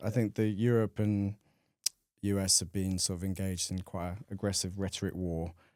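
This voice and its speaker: A man with a British accent speaks at a fairly quick pace. His fairly low voice has a dark, mellow tone and monotone, flat intonation. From United Kingdom. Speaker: carbon trader. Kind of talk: casual chat.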